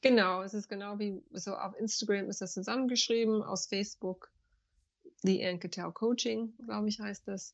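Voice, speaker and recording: Fairly even, moderately paced female speech at a medium pitch. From USA. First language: English (speaking German). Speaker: banker, yoga teacher and spiritual coach. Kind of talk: interview. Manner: halting, searching for German words.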